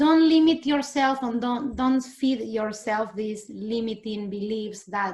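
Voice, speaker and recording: A woman speaks at a fairly slow pace with a strong Argentine accent. Her voice is somewhat breathy, with ordinary pitch variation. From Argentina. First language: Spanish. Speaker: immigrant interviewee. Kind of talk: interview. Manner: animated.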